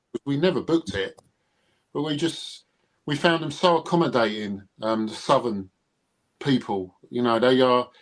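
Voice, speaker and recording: The speaker has a British accent and moves at a moderate pace. Long pauses come often. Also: man, medium pitch for a man, lively intonation. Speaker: Elvis fan and collector. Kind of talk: casual chat.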